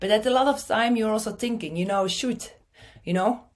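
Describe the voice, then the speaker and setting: A woman with a Belgian accent talks at a moderate pace with ordinary pitch variation, recorded very cleanly against a silent background. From Belgium. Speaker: marketing speaker. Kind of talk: conference talk.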